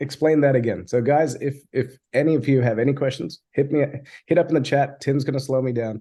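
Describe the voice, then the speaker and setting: Somewhat breathy and dark, mellow in tone, a man speaks at a fairly high pitch and a fairly quick pace. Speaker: software agency founder. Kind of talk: webinar presentation. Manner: fast; animated.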